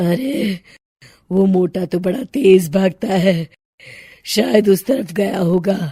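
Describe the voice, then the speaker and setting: In a cartoonish character voice, a woman speaks very slowly, raspy and medium in pitch. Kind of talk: horror storytelling. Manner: cackling, taunting.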